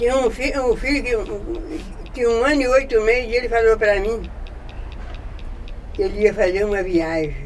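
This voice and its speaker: A woman speaks in a fairly high voice with lively intonation, leaving long, frequent pauses over noticeable background noise. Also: moderate pace. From Brazil, Minas Gerais. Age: 80s+. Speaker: cemetery devotee. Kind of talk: casual interview.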